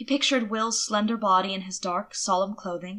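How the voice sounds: Fairly even intonation and a bright, sharp tone move along at a moderate pace. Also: woman, medium pitch for a woman.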